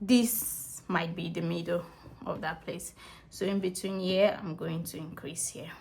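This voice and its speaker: The voice is somewhat breathy, moving at a fairly slow pace with ordinary pitch variation. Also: woman. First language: not English. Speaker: crochet tutorial creator. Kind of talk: tutorial. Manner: casual, conversational.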